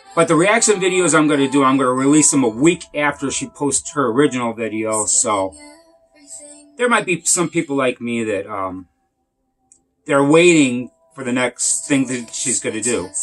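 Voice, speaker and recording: Lively intonation at a moderate pace, with music in the background. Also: man. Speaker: music reviewer. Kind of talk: casual video review. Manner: halting.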